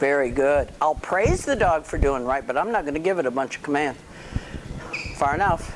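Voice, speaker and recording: Noticeable background noise surrounds a woman whose pitch is very deep and low, and she leaves long, frequent pauses. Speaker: dog trainer. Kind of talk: outdoor training demonstration.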